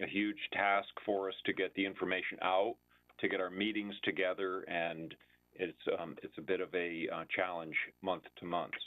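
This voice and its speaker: Against a quiet background, a man with a very deep, low voice talks at a moderate pace in a flat monotone. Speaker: town building department official. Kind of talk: public budget hearing. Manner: halting, many fillers. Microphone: video call.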